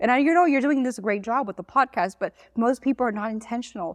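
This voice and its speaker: A woman speaks with a Miami accent and ordinary pitch variation. The sound is dry and close with no echo, over a quiet background. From Miami, Florida. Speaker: social media business owner. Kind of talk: podcast interview. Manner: fast.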